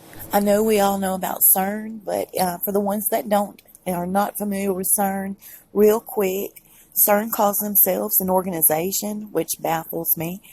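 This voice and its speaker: A woman with a Southern US accent speaks at a moderate pace in a dark, mellow tone. Her voice is somewhat breathy, and her intonation is monotone and flat. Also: medium pitch for a woman. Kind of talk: casual talk to camera.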